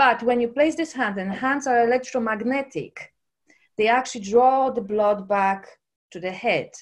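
With a Polish accent, the speaker talks at a moderate pace with ordinary pitch variation against a quiet background. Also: woman. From Poland. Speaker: personal trainer and holistic coach. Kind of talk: casual interview.

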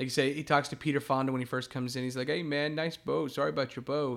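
With an unremarkable speaking voice, this man talks at a fairly high pitch with fairly even intonation on a very clean recording against a silent background. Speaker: co-host. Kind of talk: casual chat, movie discussion.

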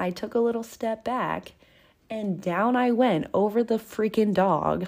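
In a very clean recording with a silent background, a woman speaks in an animated tone at a fairly high pitch with ordinary pitch variation. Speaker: podcast host. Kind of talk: casual monologue. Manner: fast.

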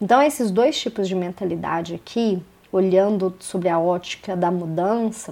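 A woman at a fairly slow pace. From Belo Horizonte, Minas Gerais, Brazil. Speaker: podcast host. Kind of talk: solo podcast monologue. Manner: casual, with frequent fillers.

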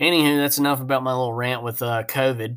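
A man at a moderate pace in an animated tone. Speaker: podcast host. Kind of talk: casual chat; over-the-top car dealership pitchman sales spiel. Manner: animated, chatty, rambling.

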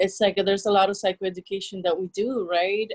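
A woman with a Spanish accent, fairly even intonation, a fairly quick pace, and a dry, close sound with no echo. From El Salvador. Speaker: therapist. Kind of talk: interview.

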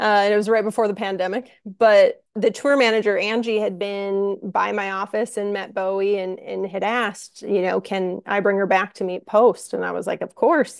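A woman talks in a normal speaking voice at a medium pitch and a moderate pace. She uses fairly even intonation and hardly any pauses. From Minnesota. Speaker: concert production manager. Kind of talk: casual interview chat.

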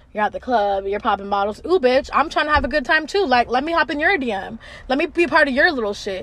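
A woman's high, animated voice races along at a very fast pace with very wide pitch swings. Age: 20s. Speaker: podcast host. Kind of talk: casual monologue rant.

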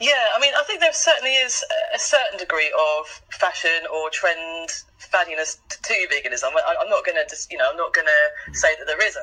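Music plays behind a woman who speaks at a moderate tempo. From eastern England, Norwich. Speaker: vegan campaigner. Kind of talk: interview.

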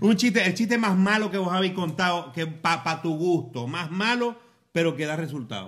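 An animated man with a high pitch, lively intonation and a moderate pace. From Venezuela, Falcón. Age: 40s. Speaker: podcast host, former radio presenter. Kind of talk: casual chat over drinks. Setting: home.

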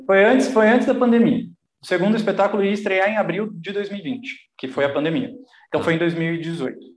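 A high-pitched man with lively intonation at a fairly quick pace, audible room echo. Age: 30s. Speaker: actor and writer. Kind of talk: casual chat.

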